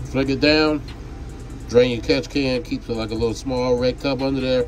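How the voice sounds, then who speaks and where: Noticeable background noise fills the clip. Over it, a man talks in a flat, monotone way. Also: medium pitch for a man, moderate pace. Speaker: jet ski mechanic demonstrating a build. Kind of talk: tutorial. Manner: loud.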